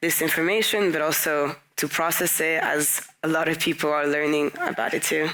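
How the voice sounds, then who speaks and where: Over noticeable background noise, a woman with a very deep, low voice talks at a moderate pace in a monotone, flat intonation. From Belgium. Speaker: daughter of a human rights figure. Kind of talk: live podcast interview. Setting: live recording at a forum.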